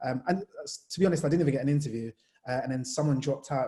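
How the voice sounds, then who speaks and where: Speaking at a very fast pace, a man with a medium pitch has a dark, mellow tone, a somewhat breathy sound and fairly even intonation. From Jamaica, moved to England at nine. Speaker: sports journalist. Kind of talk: panel discussion. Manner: casual, conversational.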